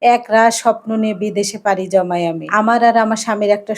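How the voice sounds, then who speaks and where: A plain, everyday voice belongs to this woman, fairly high in pitch. Her pitch varies in an ordinary way. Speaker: vlogger. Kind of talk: personal life story narration.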